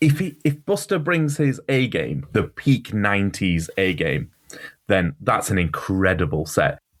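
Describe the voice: The speaker has a northern English accent. The pace is fairly slow.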